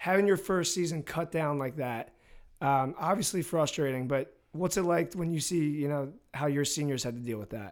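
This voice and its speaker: On a very clean recording with a silent background, a man with an American accent and a normal speaking voice talks at a moderate pace and a fairly high pitch, with ordinary pitch variation. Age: 20s. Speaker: podcast host, lacrosse coach. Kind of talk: casual chat; scripted narration.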